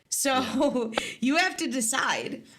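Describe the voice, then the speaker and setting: Against noticeable background noise and audible room echo, a woman speaks at a high pitch with ordinary pitch variation. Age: 20s. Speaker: livestream host. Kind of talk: casual chat. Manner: soft-spoken.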